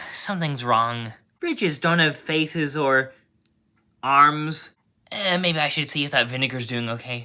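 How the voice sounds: A cartoonish character voice at a low-to-middle pitch, with a moderate pace.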